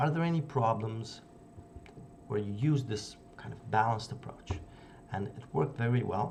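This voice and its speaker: In a non-native accent, a man speaks with lively intonation, and room echo is audible. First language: not English. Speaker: youtuber discussing psychology books. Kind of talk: casual video essay. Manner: halting with fillers.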